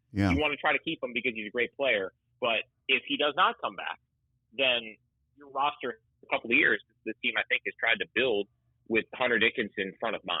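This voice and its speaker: In a normal speaking voice, a man talks at a fairly quick pace and medium pitch, using ordinary pitch variation with big swings in loudness. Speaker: radio play-by-play announcer. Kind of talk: sports podcast interview answer.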